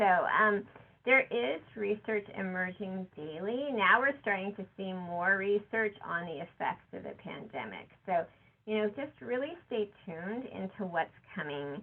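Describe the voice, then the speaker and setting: The speaker has an ordinary speaking voice with lively intonation. The pace is fairly slow, and the loudness swings widely. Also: woman, medium pitch for a woman. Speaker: nurse executive. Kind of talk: conference presentation. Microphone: too quiet, phone volume.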